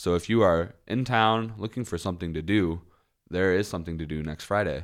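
A man with an American accent speaks at a very deep, low pitch with ordinary pitch variation and a moderate pace. The recording is very clean with a silent background. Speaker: podcast host. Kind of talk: casual chat. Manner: jokey, laughs often.

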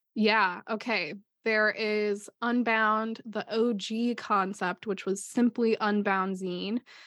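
In a Midwestern US accent, a woman with a fairly high pitch speaks very slowly and in a flat monotone, recorded dry and close with no echo on a very clean track with a silent background. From Ohio, US. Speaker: podcast co-host and artist. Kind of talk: casual chat.

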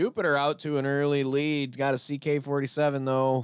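A man with an ordinary speaking voice talks at a moderate pace in a medium pitch. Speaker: podcast co-host and race caller. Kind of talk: casual banter with live race commentary. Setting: online show, livestream.

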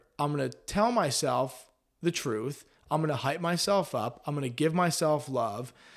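Animated in tone, a man with a fairly high pitch speaks at a moderate pace with lively intonation in a very clean recording with a silent background. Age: 20s. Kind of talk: casual chat. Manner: high energy.

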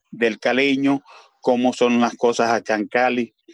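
A man at a medium pitch, in a dry, close sound with no echo. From Venezuela. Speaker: community leader. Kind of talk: panel discussion.

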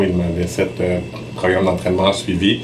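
Fairly quick speech from a man with a fairly low pitch, with audible room echo and noticeable background noise. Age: 30s. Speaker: bodybuilder and fitness trainer. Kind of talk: podcast interview.

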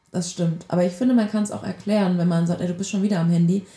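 Somewhat breathy, a woman speaks at a fairly low pitch with monotone, flat intonation. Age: 20s. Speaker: podcast co-host. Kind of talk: casual chat.

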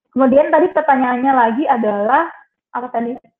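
Her voice is high-pitched. The woman talks at a moderate pace. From Trenggalek, East Java, Indonesia. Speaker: journalist. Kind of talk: webinar talk.

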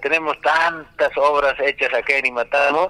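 The speaker is a man. Background noise is noticeable throughout. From Peru, Cusco region (Limatambo). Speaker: former mayor and judicial candidate. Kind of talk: campaign interview. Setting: phone call.

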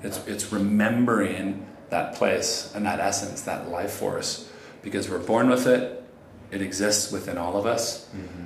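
A fairly slow voice with fairly even intonation is heard with audible room echo and noticeable background noise. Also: man, fairly low pitch for a man. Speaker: meditation teacher. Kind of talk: casual interview. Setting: busy co-working space.

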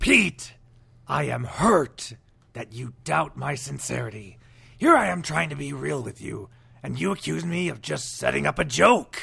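A raspy man's voice at medium pitch, moderate in pace, with big swings in loudness. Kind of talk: TV announcer voice.

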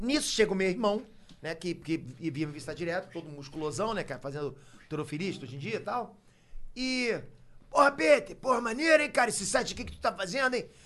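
A man speaks in a raised, projected voice with a bright, sharp tone. He goes at a very fast pace, his pitch swinging very widely. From Rio de Janeiro, Brazil. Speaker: YouTuber. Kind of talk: casual chat.

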